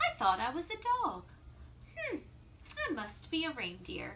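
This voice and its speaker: A woman's put-on character voice at a moderate pace, over clear background noise. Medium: read story.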